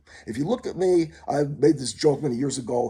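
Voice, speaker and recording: A dark, mellow male voice with a somewhat breathy quality. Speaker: vlogger. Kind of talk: rambling monologue vlog. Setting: mother's condo. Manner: fast; halting, many fillers.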